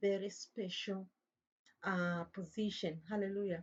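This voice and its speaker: A woman speaks at a moderate pace and medium pitch, somewhat breathy, with monotone, flat intonation. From Tanzania. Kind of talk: religious talk monologue. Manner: halting.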